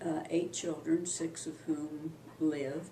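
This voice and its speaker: Over noticeable background noise and audible room echo, a woman speaks very slowly in a very deep, low pitch with a monotone, flat intonation. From Kansas, US Midwest. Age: 70s. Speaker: family elder recounting history. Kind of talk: oral history interview. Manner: halting, many fillers.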